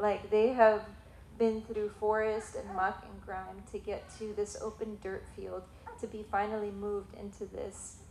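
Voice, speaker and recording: A woman with an American accent speaks at a fairly slow pace in a fairly high voice, her intonation monotone and flat. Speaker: missionary. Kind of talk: testimony. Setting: church.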